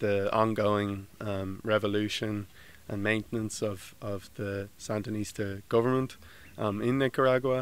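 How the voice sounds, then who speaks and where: On a very clean recording with a silent background, a man with a Dublin accent speaks at a fairly slow pace and a fairly low pitch. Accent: Dublin Irish. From Ireland, Dublin. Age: 20s. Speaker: graduate student. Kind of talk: interview. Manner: halting, many fillers.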